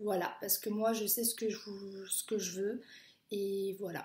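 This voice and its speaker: The woman's pitch is fairly high. She speaks at a fairly slow pace. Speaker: au pair vlogger. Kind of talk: casual vlog monologue. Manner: hesitant, many fillers.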